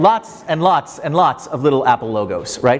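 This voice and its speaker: A man with a fairly high voice talks while noticeable noise fills the background. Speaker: professor. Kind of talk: lecture. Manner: fast.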